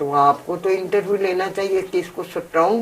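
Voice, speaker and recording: With noticeable noise in the background, a woman's medium-pitched voice varies in pitch in an ordinary way. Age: 80s+. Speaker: activist mother of dowry victim. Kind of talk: interview. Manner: animated.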